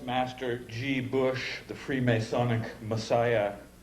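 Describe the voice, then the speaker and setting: A man speaks at a very slow pace against noticeable background noise. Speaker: poet. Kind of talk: satirical poetry reading.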